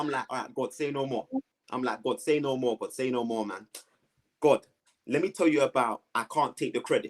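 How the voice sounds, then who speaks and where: Speaking fairly quickly but with long, frequent pauses, a man with a London accent uses a fairly high pitch and ordinary pitch variation, the sound dry and close with no echo. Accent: London multicultural English. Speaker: guest sharing life story. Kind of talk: testimony. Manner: animated.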